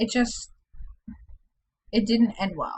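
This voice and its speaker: Speaking at a fairly slow pace, a woman talks with an American accent. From Indiana, US Midwest. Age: 20s. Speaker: video blogger. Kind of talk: personal vlog, casual monologue.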